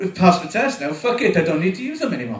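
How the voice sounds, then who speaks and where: A man's voice moves through very wide pitch swings. Noticeable background noise and audible room echo surround it. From Wales. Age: 40s. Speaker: amateur stand-up comedian. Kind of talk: stand-up. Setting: stage with audience. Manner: halting, repeats words.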